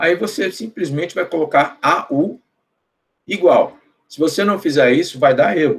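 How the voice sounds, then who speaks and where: A man with a high pitch speaks at a fairly slow pace, with lively intonation and big swings in loudness. He leaves long, frequent pauses. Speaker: professor. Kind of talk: lecture. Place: home room. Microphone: webcam.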